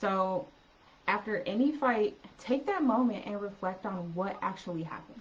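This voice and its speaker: Over music in the background, a soft-spoken voice moves at a moderate pace with ordinary pitch variation. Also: woman. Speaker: relationship coach. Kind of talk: live stream talk.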